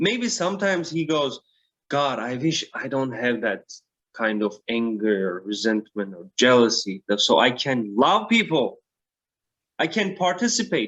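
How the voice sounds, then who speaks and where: Speaking fairly slowly, a man with a medium-pitched voice swings very widely up and down in pitch. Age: young. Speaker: spiritual guide. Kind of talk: casual chat. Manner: halting.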